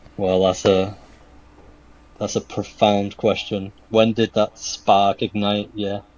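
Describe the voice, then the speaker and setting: With a British accent, a man speaks at a fairly slow pace in a fairly low pitch. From UK. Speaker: shoe customizer and artist. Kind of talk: podcast interview.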